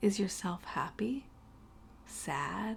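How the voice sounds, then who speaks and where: A woman with a medium-pitched voice speaks in a calm, gentle tone that is somewhat breathy. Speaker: guided meditation host. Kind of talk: guided meditation. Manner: calm, slow, gentle.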